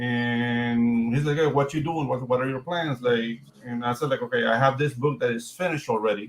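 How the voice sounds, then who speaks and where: In a Spanish accent, the voice moves at a moderate pace with ordinary pitch variation. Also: man. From Panama. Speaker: comic book artist and writer. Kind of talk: casual chat.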